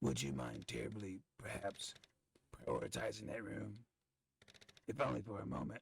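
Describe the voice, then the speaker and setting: A man uses a put-on character voice, raspy and fairly low in pitch. He keeps a moderate pace broken by long, frequent pauses. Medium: game stream. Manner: formal, genteel.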